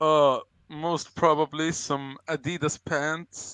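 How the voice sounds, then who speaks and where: A man's fairly high voice in a Swedish accent, with ordinary pitch variation, dry and close with no echo, over a quiet background. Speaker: crypto project advisor. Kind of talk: casual chat. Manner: halting.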